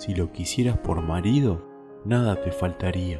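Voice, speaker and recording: Over music in the background, the speaker uses a calm, soothing tone at a fairly slow pace. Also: man. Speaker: human narrator of bedtime stories. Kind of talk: sleep story read aloud, fairy tale narration. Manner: calm, soothing, slow.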